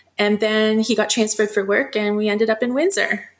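A woman talks at a medium pitch. Her pace is moderate and her intonation fairly even.

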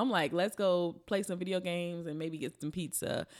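With an American accent, an unremarkable speaking voice moves at a fairly quick pace in a very clean recording with a silent background. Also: woman. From Chicago South Side. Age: 30s. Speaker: comedian. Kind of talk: casual chat. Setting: studio.

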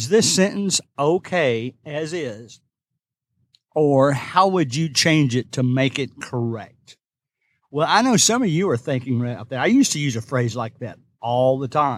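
On a very clean recording with a silent background, a man with a Kentucky accent and a fairly high pitch talks with lively intonation. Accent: Kentucky Southern US. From Kentucky, US. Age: 60s. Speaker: substitute teacher, podcast host. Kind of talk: casual solo podcast monologue. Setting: recording in a parked car or parking garage.

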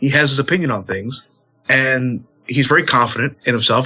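A man has a plain, everyday voice. He talks at a fairly high pitch and a fairly quick pace. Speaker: pro wrestler. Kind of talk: casual chat.

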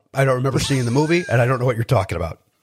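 Somewhat breathy, a man speaks on a very clean recording with a silent background. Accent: American. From Chicago, South Side. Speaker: stand-up comedian and podcaster. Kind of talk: casual interview chat.

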